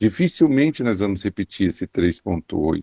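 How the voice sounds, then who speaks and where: Dark and mellow in tone, a man's voice carries lively intonation with a dry, close sound and no echo. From São Paulo state, Brazil. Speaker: economist. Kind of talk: radio interview. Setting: remote radio connection.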